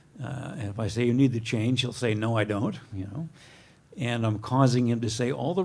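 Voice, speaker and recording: A man speaks at a moderate pace in a medium pitch. Room echo can be heard. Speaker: professor, guest lecturer. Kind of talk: lecture. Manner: soft-spoken.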